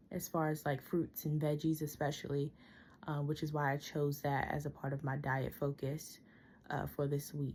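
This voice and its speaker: A woman's very deep, low voice, somewhat breathy, with monotone, flat intonation, very even loudness and a moderate pace. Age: 20s. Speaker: student. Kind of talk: personal video report. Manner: hesitant, many fillers.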